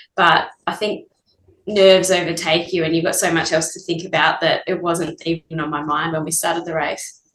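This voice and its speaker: With an Australian accent, a woman speaks in a fairly low, monotone voice that stays flat throughout. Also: moderate pace. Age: 30s. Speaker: ultramarathon runner. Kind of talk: casual interview.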